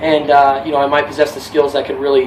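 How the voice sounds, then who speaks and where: A man with a fairly high voice talks at a very fast pace. Noticeable background noise can be heard. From California. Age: 20s. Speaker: job applicant and musician. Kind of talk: job application video with mock sales pitch.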